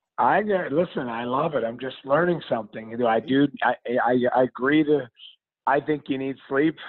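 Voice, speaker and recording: With a fairly high pitch, this man has an ordinary speaking voice. He keeps a moderate pace. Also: ordinary pitch variation. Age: 40s. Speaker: former hockey player, TV analyst. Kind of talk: casual interview.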